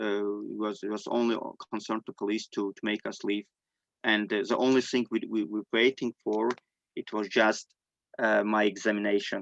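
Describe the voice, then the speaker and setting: With an Armenian accent, a man speaks at a moderate pace in a monotone, flat intonation, his loudness swinging widely, and the sound is dry and close with no echo. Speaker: displaced person sharing testimony. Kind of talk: testimony. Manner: halting.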